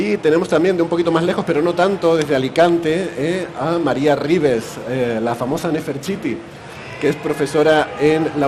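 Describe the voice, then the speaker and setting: The intonation stays fairly even, with noticeable background noise and audible room echo. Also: man. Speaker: podcast host. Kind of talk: live podcast recording. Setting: stage with live audience at a festival.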